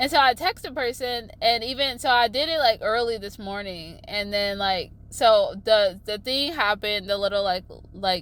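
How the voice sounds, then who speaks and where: Her fairly high voice carries lively intonation as this woman speaks. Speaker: astrology vlogger. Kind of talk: casual vlog monologue. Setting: in a car. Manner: loud; halting, filler-heavy.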